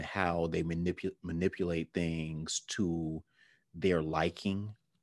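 Against a quiet background, a man speaks in a very deep, low voice at a fairly slow pace, monotone and flat, with a dry sound and no echo. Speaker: podcast co-host. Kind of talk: casual podcast discussion. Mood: reflective, relaxed. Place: home room. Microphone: webcam.

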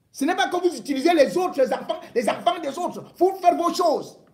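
A man talks at a high pitch and a moderate pace. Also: quiet background. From Cameroon. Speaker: political commentator. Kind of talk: angry rant, accusatory political tirade. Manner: indignant, scolding, hammering commands at the target; emphatic, repeating words for stress. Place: home room. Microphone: phone near.

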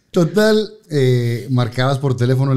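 A man talks at a fairly quick pace with a fairly high pitch. The background is quiet. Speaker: TV host and radio announcer; TV host, radio announcer. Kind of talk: casual chat. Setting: studio. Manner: animated. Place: studio. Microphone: studio mic.

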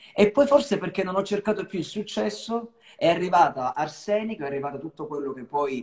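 Lively intonation marks this man's speech. He talks at a fairly quick pace against a quiet background. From Calabria, Italy (Cosenza). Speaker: singer. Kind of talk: live-stream interview. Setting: video call live stream. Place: home room. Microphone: video call.

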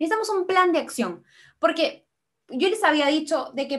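The speaker talks at a moderate pace with lively intonation over a quiet background. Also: woman. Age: 20s. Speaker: medical student and nutrition content creator; nutrition content creator. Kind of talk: online lecture.

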